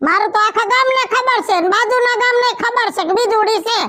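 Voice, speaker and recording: A woman does a cartoonish character voice at an extremely high pitch and a moderate pace. Her loudness stays very even. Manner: brash, scolding.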